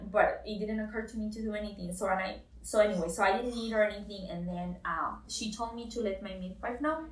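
A woman with a Spanish accent talks at a fairly quick pace in a fairly high pitch, with hardly any pauses and noticeable background noise. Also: ordinary pitch variation, big swings in loudness. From Costa Rica. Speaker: new mother sharing birth story. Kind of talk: interview, personal story.

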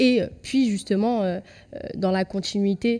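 Dark and mellow in tone, a woman speaks at medium pitch. Her intonation stays fairly even. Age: 20s. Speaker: youth educator. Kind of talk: casual chat.

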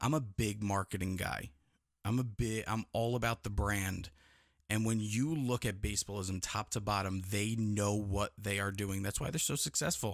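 On a very clean recording with a silent background, a man with an American accent and an unremarkable speaking voice talks at a moderate pace and fairly low pitch, with ordinary pitch variation. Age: 30s. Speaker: podcast host. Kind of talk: casual chat. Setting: studio.

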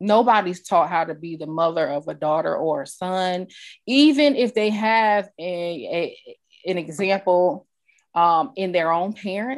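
A woman with an American accent speaks at a fairly slow pace in a normal speaking voice. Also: medium pitch for a woman, quiet background. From New York. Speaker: podcast host. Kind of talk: interview.

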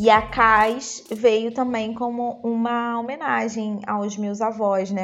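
Over music in the background, a woman speaks in a fairly high pitch with a monotone, flat intonation. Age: 30s. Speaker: fashion stylist and image consultant. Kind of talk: casual chat.

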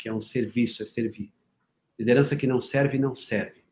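Pitched at a medium level, the man's voice shows ordinary pitch variation. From Paraná, Brazil. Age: 40s. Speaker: leadership and performance mentor. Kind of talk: interview conversation.

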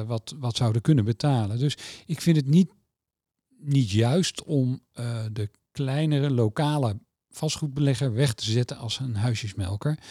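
A man's fairly slow, somewhat breathy delivery at medium pitch, dark and mellow in tone with ordinary pitch variation, in a very clean recording with a silent background and a dry, close sound with no echo. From Netherlands, Utrecht. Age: 50s. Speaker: mortgage company executive. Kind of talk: interview. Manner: hesitant, many filler sounds.

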